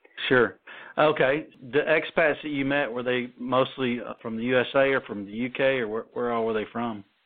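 At a moderate pace, a man talks in a normal speaking voice, with medium pitch and fairly even intonation. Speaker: radio host. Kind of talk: casual interview.

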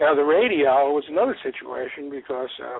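A man at medium pitch and a fairly quick pace, with lively intonation, vocal fry and a slightly husky edge

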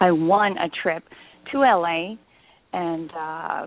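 A woman's plain, everyday voice at a medium pitch, with ordinary pitch variation. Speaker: actress. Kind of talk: interview. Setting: remote call.

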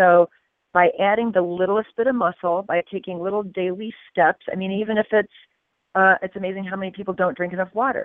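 A woman's unremarkable speaking voice, medium in pitch, at a fairly quick pace with fairly even intonation. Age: 50s. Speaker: fitness coach. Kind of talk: interview.

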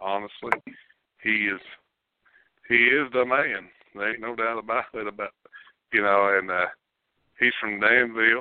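A man with a Kentucky accent, medium pitch and fairly even intonation, at a moderate pace with long, frequent pauses. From Kentucky, Montgomery County. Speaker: sports radio host. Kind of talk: casual chat.

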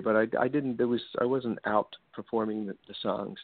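A man with a plain, everyday voice talks at a fairly quick pace, his fairly low pitch carried by fairly even intonation. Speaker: musician and former teacher. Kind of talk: casual interview. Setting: home studio.

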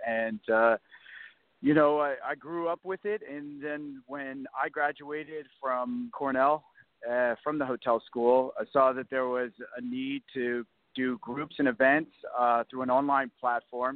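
Fairly high-pitched for a man, this speaker uses fairly even intonation and has an unremarkable speaking voice. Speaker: business executive. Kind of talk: radio interview. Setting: phone call.

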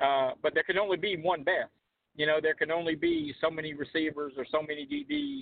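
Here is a man with a plain, everyday voice and a fairly high pitch. He moves at a fairly quick pace with ordinary pitch variation. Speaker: sports journalist. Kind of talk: casual chat.

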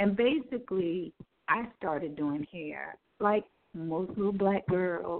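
A woman with lively intonation talks at a very slow pace and a medium pitch. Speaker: cosmetologist and salon owner. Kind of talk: radio interview. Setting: studio.

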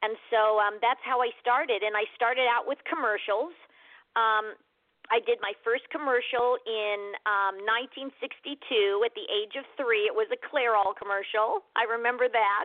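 An unremarkable speaking voice with a General American accent moves at a moderate pace with ordinary pitch variation. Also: woman, fairly high pitch for a woman. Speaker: actress. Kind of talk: casual interview chat. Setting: radio interview.

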